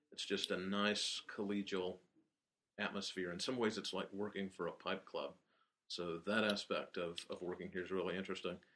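Speaking in a Southern US accent at a moderate pace, a man with a fairly low pitch uses monotone, flat intonation and a bright, sharp tone. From Alabama, Birmingham. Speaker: general manager. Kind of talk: interview.

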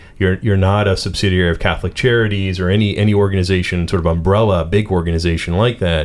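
A Pittsburgh accent at a very fast pace, with hardly any pauses, fairly even intonation and a very clean recording over a silent background. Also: man, very deep, low pitch for a man. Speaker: radio co-host. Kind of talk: radio interview. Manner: casual, filler-heavy.

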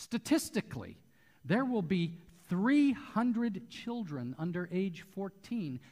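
Speaking at a very slow pace, a man lets his pitch swing very widely. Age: 60s. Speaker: pastor. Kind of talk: sermon. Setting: church.

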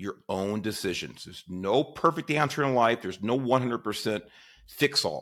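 With a normal speaking voice, a man talks at a moderate pace and medium pitch, his intonation lively, on a very clean recording with a silent background. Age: 50s. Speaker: podcast host. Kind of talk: casual interview chat.

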